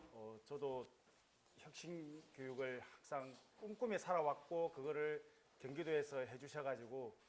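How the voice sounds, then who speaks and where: A man talks at a very slow pace. His pitch is fairly high, with ordinary pitch variation. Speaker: school vice principal and lecturer. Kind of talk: lecture. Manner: halting, many fillers.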